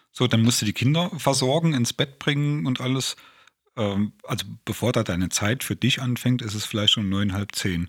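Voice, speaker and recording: A man speaks in a plain, everyday voice at medium pitch, with lively intonation and a moderate pace. The recording is very clean, with a silent background. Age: 40s. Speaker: podcast co-host, self-help group co-founder. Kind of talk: casual chat.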